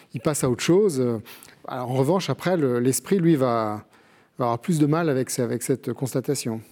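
In a very clean recording with a silent background, a man talks at a moderate pace with long, frequent pauses, using a medium pitch, ordinary pitch variation and a dark, mellow tone. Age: 60s. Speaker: television producer and author. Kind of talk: book discussion on TV. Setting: TV studio.

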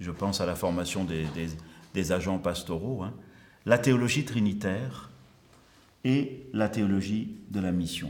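Audible room echo surrounds a man speaking at a fairly slow pace with ordinary pitch variation. He leaves long, frequent pauses. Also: fairly low pitch for a man. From Marseille, southern France (early childhood in Algeria). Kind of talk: conference lecture.

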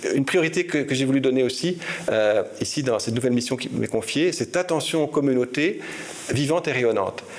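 Moderate pace, lively intonation, and medium pitch from a man, over noticeable background noise. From Belgium. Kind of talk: interview. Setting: archbishop's residence. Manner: hesitant, frequent repetitions.

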